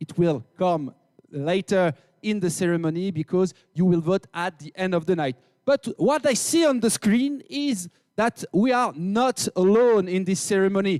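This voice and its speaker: A man with a French accent talks at a moderate pace in a high voice with lively intonation. The recording is very clean, with a silent background and a dry, close sound with no echo. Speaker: event host. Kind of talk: live event hosting. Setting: stage with audience. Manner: animated.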